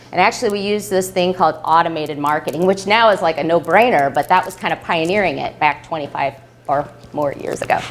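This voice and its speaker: An animated woman speaks at a fairly low pitch with ordinary pitch variation. Noticeable background noise is present. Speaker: business consultant giving a talk. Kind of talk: live presentation to an audience. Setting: room with live audience. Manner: fast.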